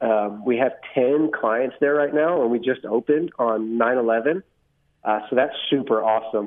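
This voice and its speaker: A man with an American accent speaks in a plain, everyday voice at a medium pitch and a fairly slow pace, with ordinary pitch variation and very even loudness. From Texas Hill Country. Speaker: Marine Corps veteran, rehab admissions director. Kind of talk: interview, personal testimony.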